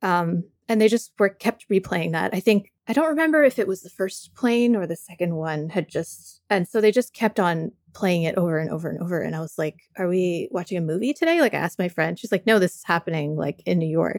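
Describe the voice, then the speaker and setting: A woman talks at a fairly quick pace with hardly any pauses, her pitch medium with ordinary variation and her loudness swinging widely. It's a normal speaking voice, recorded dry and close with no echo. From Canada and the US. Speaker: podcast co-host and writer. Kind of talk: casual conversation.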